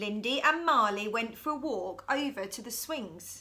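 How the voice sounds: The woman's tone is bright and sharp, her pitch fairly high. She speaks at a fairly slow pace. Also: lively intonation.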